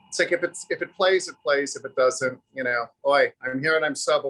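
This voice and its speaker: The recording is dry and close, free of echo. A man talks at a fairly quick pace. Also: hardly any pauses. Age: 60s. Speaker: actor. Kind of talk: interview.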